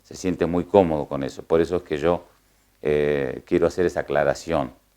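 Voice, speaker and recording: With a very deep, low, dark and mellow voice, a man speaks at a moderate pace with vocal fry, fairly even intonation and big swings in loudness. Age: 60s. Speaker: horse trainer and coachman. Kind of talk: interview. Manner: hesitant, many fillers.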